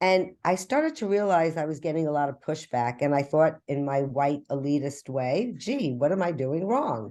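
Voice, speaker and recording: The voice has a dark, mellow tone and ordinary pitch variation. The background is quiet. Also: woman. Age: 60s. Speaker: graduate student. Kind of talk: class discussion. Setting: video call. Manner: halting.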